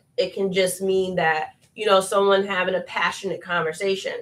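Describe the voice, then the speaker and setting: A woman talks in a medium pitch. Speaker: podcast host and mother. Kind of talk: casual chat. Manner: loud.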